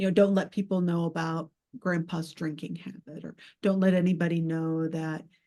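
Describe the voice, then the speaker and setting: With a Southern US accent, a woman speaks at a moderate pace in a fairly low pitch, her tone dark and mellow and her intonation fairly even. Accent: Southern twang, stopped masking it. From US South, Georgia. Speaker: poet and writing teacher. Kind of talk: panel discussion. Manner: halting, many fillers.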